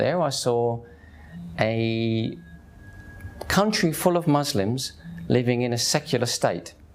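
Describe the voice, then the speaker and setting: A man with an English accent, medium pitch, lively intonation and a fairly slow pace. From England. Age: 50s. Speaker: convert telling his story. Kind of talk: testimony. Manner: animated.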